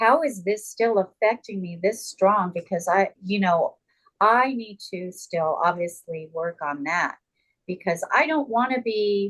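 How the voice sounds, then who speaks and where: Speaking with an American accent, a woman has a medium pitch. Her pace is fairly slow, and her intonation is lively. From Southern California (Carson). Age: 60s. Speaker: TV personality and former executive assistant. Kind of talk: podcast interview. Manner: halting with many fillers and repetitions.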